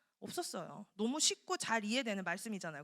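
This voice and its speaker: Recorded very cleanly against a silent background, with a dry, close sound and no echo, a woman talks at a moderate pace in a fairly high pitch with very wide pitch swings. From South Korea, Daegu (Gyeongsang). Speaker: preacher. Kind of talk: sermon. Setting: church. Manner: animated.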